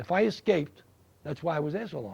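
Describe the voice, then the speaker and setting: Talking at a fairly quick pace in a New York accent, a man has a fairly high pitch, a dark, mellow tone and lively intonation. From New York City. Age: 70s. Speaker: war veteran. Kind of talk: interview.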